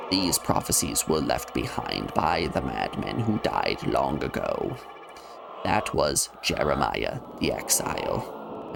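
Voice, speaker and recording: A put-on character voice from a man, fairly slow, over clear background noise. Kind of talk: solemn game-dialogue reading. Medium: game stream. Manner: grave, cryptic, measured.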